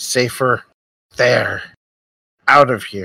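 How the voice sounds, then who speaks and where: A raspy, put-on character voice sits at a low-to-middle pitch. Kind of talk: fantasy tabletop roleplay. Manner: clipped, earnest, short phrases.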